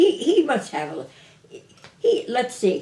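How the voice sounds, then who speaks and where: A woman at a very slow pace with very wide pitch swings. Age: 90s. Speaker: elderly local resident interviewed. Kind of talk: oral history interview, casual chat. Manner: halting, repeats words.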